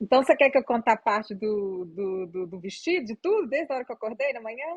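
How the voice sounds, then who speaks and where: Talking at a very fast pace, a woman speaks with a Minas Gerais accent. Her fairly high voice carries lively intonation. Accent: Minas Gerais Brazilian Portuguese. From Minas Gerais, Brazil. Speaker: psychologist. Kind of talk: interview answer.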